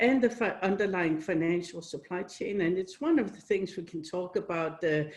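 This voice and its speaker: Her pitch shows ordinary variation. The woman talks at a moderate pace. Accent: Danish. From Denmark. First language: Danish. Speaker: company CEO. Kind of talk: interview.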